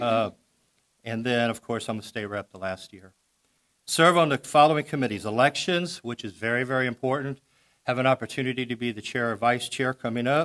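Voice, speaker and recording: In an American accent, a man with an ordinary speaking voice and medium pitch talks at a fairly quick pace with ordinary pitch variation and big swings in loudness, the sound dry and close with no echo. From Missouri, Jefferson County (Festus). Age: 60s. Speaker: political candidate. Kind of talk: candidate forum speech. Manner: casual, conversational with fillers.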